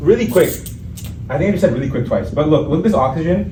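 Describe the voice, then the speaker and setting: A man with a Pakistani accent, with audible room echo and noticeable background noise. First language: Urdu. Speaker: MCAT tutor. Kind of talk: lecture. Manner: casual, stumbling over words. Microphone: no microphone.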